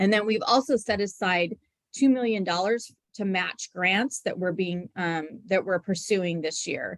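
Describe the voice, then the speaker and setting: With an unremarkable speaking voice, a woman at medium pitch talks at a fairly slow pace with ordinary pitch variation, in a dry, close sound with no echo. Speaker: transit agency staff presenter. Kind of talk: public meeting presentation. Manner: many filler ums.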